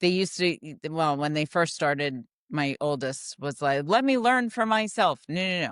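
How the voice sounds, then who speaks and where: Loud and with hardly any pauses, a woman speaks at a moderate pace in a fairly low pitch with very wide pitch swings, the sound dry and close with no echo against a quiet background. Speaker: podcast host. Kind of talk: casual chat.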